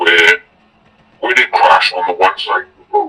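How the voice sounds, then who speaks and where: Music plays behind a man whose pace is moderate. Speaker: anonymous eyewitness. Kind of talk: interview answer, recounting events.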